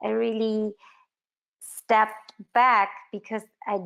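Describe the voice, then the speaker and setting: A woman with a non-native accent, her intonation fairly even, against a quiet background. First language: not English. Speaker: filmmaker. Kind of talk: interview. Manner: halting.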